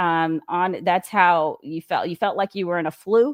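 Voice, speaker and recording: With fairly even intonation and a fairly low pitch, a woman is heard in a dry, close sound with no echo and a very clean recording against a silent background. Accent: American. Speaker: astrologer. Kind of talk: casual chat. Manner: halting.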